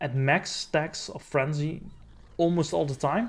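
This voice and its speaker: A man mumbles at a fairly slow pace in a fairly high, somewhat breathy voice. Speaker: gaming video creator. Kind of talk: tutorial. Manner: mumbling; halting.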